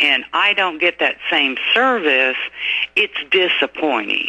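A woman's fairly low voice with very wide pitch swings, over noticeable background noise. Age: 60s. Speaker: caller. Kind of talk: casual chat.

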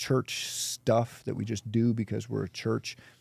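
Here a man with an American accent talks at a fairly slow pace. The recording is very clean, and the background is silent. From San Diego, California. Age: 30s. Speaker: pastor. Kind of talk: casual chat.

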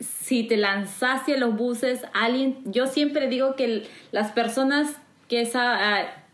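Speech comes at a very slow pace with very even loudness and fairly even intonation. Noticeable background noise sits underneath. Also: woman, high pitch for a woman. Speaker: podcast host. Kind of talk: casual interview. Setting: living in the US.

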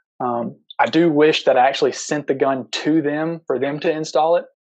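Monotone, flat intonation from a man with an Alabama accent, fairly high pitch and a moderate pace. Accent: Southern US (Alabama). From US South, Tuscaloosa, Alabama. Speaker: competitive pistol shooter. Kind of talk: casual interview. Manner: hesitant, many fillers.

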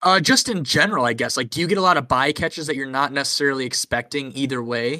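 The man's tone is bright and sharp, his pitch fairly high. He talks at a very fast pace. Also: ordinary pitch variation. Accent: American. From Michigan. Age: 20s. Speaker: podcast host. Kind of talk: casual chat.

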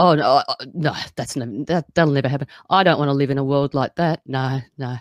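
Close and dry with no echo, a woman with an Australian accent speaks at a fairly quick pace in a very deep, low pitch. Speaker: podcast host. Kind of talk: casual chat. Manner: laughs often.

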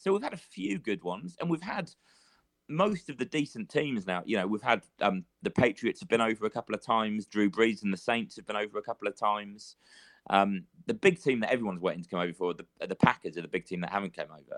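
Fairly low in pitch, a man talks very fast in a British accent with lively intonation. The sound is dry and close, without echo. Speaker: freelance sports writer. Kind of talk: casual interview. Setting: remote call from England.

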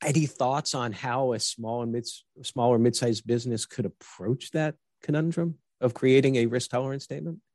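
Against a quiet background with a dry, close sound and no echo, a man speaks at a fairly quick pace in a normal speaking voice, medium in pitch, with ordinary pitch variation. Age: 50s. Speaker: podcast host and army veteran. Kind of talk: interview.

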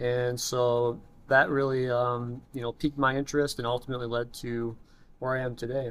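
At a moderate pace, a man speaks in a medium pitch with monotone, flat intonation. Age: 20s. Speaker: PhD student, wildlife researcher. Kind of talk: casual interview. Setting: conference.

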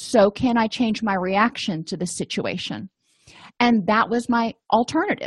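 In a dry, close sound with no echo and a quiet background, a woman speaks with fairly high pitch and a somewhat breathy voice. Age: 40s. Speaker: therapist and podcast host. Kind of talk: educational podcast lecture.

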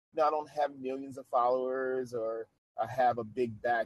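At a moderate pace, a man with a medium-pitched voice uses a normal speaking voice, recorded with a dry, close sound and no echo. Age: 30s. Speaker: podcast host. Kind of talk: casual interview chat.

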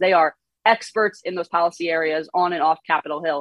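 A woman with a New York accent talks at a fairly quick pace in a fairly low voice. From Long Island, New York. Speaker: congressional reporter. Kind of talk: casual interview chat. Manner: slight accent, not thick.

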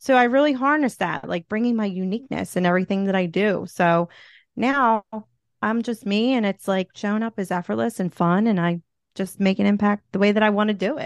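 Heard in a dry, close sound with no echo, a woman with a Philadelphia accent speaks with ordinary pitch variation. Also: medium pitch for a woman. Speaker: TV host, author and motivational speaker. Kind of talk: casual interview chat.

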